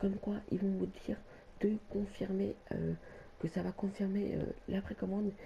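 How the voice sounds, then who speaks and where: A woman speaks softly. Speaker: gaming youtuber. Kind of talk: tutorial. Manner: soft-spoken; halting.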